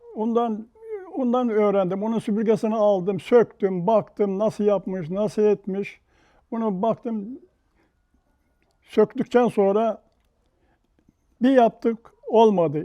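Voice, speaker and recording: Speaking very slowly with long, frequent pauses, a man uses a high pitch and a dark, mellow tone with ordinary pitch variation. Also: dry, close sound with no echo, quiet background. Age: 80s+. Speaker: broom maker. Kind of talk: interview answer.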